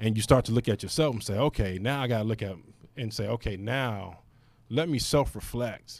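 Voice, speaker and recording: A man with an American accent and an unremarkable speaking voice talks at a fairly quick pace with a medium pitch and ordinary pitch variation, in a very clean recording with a silent background. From Fort Wayne, Indiana (US Midwest). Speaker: podcast co-host. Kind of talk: casual chat.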